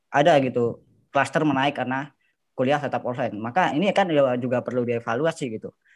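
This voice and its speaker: In a quiet background, a man with a normal speaking voice talks at a fairly quick pace, medium in pitch with ordinary pitch variation. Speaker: university student.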